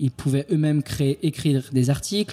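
A man at a moderate pace with a fairly high pitch and a dark, mellow tone, in dry, close sound with no echo. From France, Île-de-France. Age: 30s. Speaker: entrepreneur, founder of a creative media company. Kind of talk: interview.

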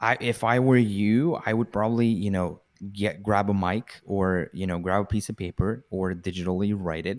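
A man with a plain, everyday voice at a fairly low pitch, fairly even intonation and a moderate pace, in a very clean recording with a silent background and a dry, close sound with no echo. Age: 20s. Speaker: marketing and sales entrepreneur. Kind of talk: casual interview.

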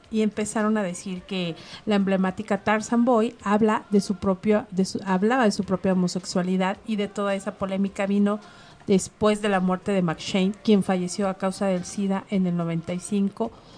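A woman speaks with a Mexican accent at a medium pitch. Her intonation stays fairly even and her pace is fairly slow. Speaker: radio host. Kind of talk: casual chat. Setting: studio.

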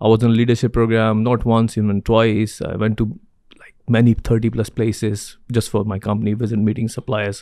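This man's voice has a dark, mellow tone. It rests at a medium pitch. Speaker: supply chain consultant and entrepreneur. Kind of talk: interview. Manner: fast talker; animated.

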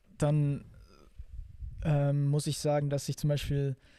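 A man with a fairly high pitch and a dark, mellow tone, on a very clean recording with a silent background. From Bavaria, Germany (Augsburg). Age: 20s. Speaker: actor and musician. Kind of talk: casual chat.

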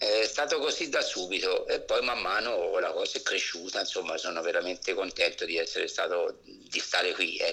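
At a moderate pace with hardly any pauses, a man keeps his loudness very even against noticeable background noise. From Abruzzo, Italy (province of L'Aquila). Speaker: retired firefighter. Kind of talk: casual interview.

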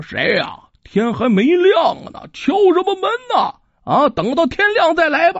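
This put-on character voice is pitched extremely high and moves at a moderate pace. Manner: yawning, sleepy, annoyed at being woken.

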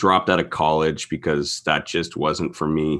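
Over a quiet background, a man with a very deep, low voice and a bright, sharp tone speaks at a fairly slow pace with fairly even intonation. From Ontario, Canada (St. Catharines). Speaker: real estate investor and podcast host. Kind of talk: casual interview chat.

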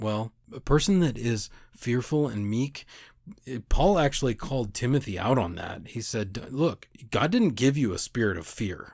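Someone with an American accent speaks at a fairly slow pace with lively intonation, on a very clean recording with a silent background. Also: man. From United States. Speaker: podcast host. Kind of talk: casual religious monologue. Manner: halting, many fillers and repeats.

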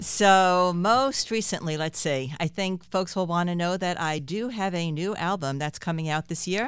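On a very clean recording with a silent background, a woman with an American accent uses a plain, everyday voice at a fairly low pitch, speaking at a moderate pace with hardly any pauses and ordinary pitch variation. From New York City (Queens). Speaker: singer-songwriter. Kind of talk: interview.

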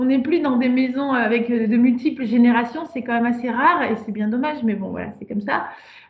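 High-pitched speech from a woman, fairly quick, with ordinary pitch variation. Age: 40s. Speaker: sexologist and couples therapist. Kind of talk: podcast interview.

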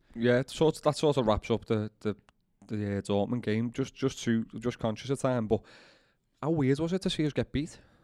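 A man with a Liverpool accent has a dark, mellow tone and a medium pitch, with ordinary pitch variation at a moderate pace. The very clean recording is dry and close with no echo and a silent background. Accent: Liverpool Scouse. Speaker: Liverpool fan pundit. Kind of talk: casual football chat.

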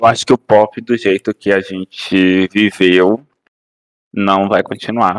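Very slow and monotone, a man with fairly low pitch speaks at a very even loudness in a dry, close sound with no echo. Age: 20s. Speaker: podcast guest. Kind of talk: casual chat.

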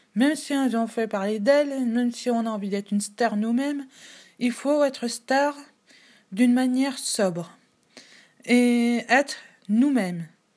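A high-pitched woman speaks at a fairly slow pace with ordinary pitch variation, pausing long and often. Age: 20s. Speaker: podcaster sharing personal testimony. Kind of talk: personal testimony and opinion monologue.

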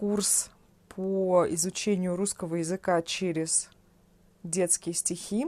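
A woman speaks very slowly at a medium pitch. Her tone is dark and mellow, with ordinary pitch variation. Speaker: Russian language teacher. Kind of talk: unscripted solo podcast for learners. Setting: at home on a sofa. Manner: clear enunciation.

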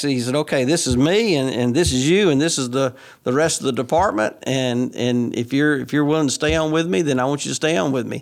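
In an Alabama accent, a man with a fairly high voice talks at a very fast pace with ordinary pitch variation on a very clean recording with a silent background. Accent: Southern US (Alabama). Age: 60s. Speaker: state legislator. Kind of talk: casual interview. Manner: halting, with frequent repeated words.

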